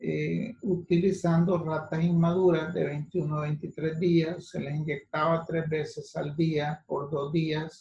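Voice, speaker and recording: A man with a fairly high pitch and a dark, mellow tone talks at a very slow pace in monotone, flat intonation, with hardly any pauses. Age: 60s. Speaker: physician lecturer. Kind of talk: lecture. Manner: halting.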